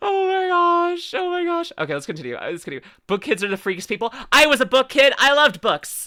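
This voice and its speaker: A raised, projected voice in a Canadian accent, bright and sharp in tone and animated, at a fairly quick pace with hardly any pauses and very wide pitch swings. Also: woman, high pitch for a woman. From Canada. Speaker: VTuber reacting to videos. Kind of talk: casual reaction stream commentary.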